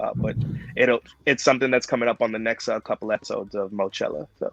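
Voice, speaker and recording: Delivered at a very fast pace in a New York accent, the voice has a dry, close sound with no echo. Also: man. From Brooklyn, New York. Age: 40s. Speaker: professional wrestler. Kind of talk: interview.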